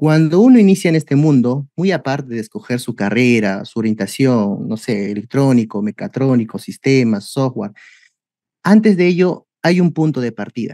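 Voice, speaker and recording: This man talks at a moderate pace with a medium pitch and a dark, mellow tone, his pitch swinging very widely. The background is quiet and the sound is dry with no echo. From Peru. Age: 30s. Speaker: robotics teacher. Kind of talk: webinar presentation. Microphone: video call.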